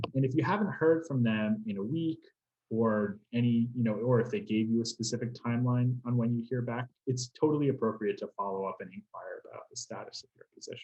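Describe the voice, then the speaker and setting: Here a man talks fairly quickly at medium pitch in a dark, mellow, somewhat breathy tone. His pitch varies in an ordinary way while his loudness swings widely. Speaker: career specialist. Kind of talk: webinar presentation.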